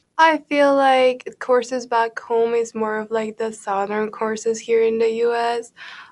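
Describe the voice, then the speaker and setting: Speaking at a fairly slow pace with hardly any pauses, a woman holds a fairly high pitch in a monotone, flat intonation. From Peru. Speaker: college golfer. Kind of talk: interview.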